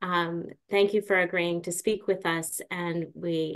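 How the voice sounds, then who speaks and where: Against a quiet background, a woman speaks at a fairly low pitch. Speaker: webinar moderator. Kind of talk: moderating a webinar. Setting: video call. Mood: warm, welcoming. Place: home room. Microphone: video call.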